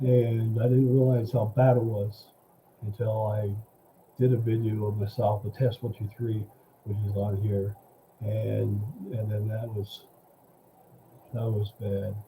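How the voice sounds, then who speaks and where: A man's fairly low, mumbling voice at a fairly slow pace, with monotone, flat intonation, long, frequent pauses and noticeable background noise. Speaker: livestream news commentator. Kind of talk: casual live stream commentary. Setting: solo live stream. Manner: halting. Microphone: mic too quiet.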